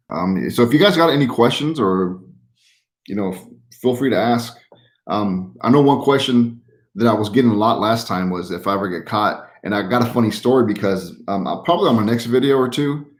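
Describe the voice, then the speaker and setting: Here a man talks in an American accent at a fairly quick pace, his pitch medium. There is audible room echo. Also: ordinary pitch variation. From Utah. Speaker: YouTuber who trash picks and resells. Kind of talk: livestream chat answering viewers. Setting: live stream. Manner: casual, many fillers.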